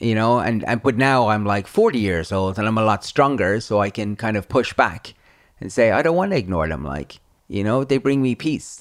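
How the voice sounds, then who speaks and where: Speaking at a moderate pace with an Irish accent, a man uses lively intonation at a medium pitch, in a very clean recording with a silent background. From Ireland. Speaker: YouTuber and author. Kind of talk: interview.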